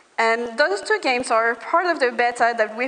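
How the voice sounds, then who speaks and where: Over noticeable background noise, a woman with a non-native accent speaks at a high pitch and a moderate pace, with ordinary pitch variation. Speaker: startup founder. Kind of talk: pitch presentation.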